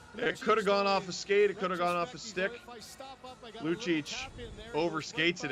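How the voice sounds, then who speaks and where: With music playing in the background, a man speaks in a high voice, leaving long, frequent pauses. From Ontario, Canada (Toronto area). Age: 30s. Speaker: hockey watch-along streamer. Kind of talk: live commentary. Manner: animated.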